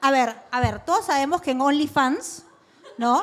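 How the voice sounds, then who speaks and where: Over noticeable background noise, a woman with a high pitch talks at a very slow pace. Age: 30s. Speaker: podcast co-host. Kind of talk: live podcast before audience, casual chat. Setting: live recording with audience.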